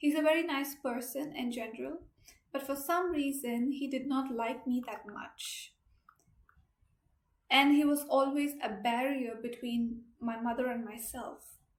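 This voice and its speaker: There is audible room echo as a woman speaks in a high pitch with fairly even intonation. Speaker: person who stutters sharing story. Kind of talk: testimony.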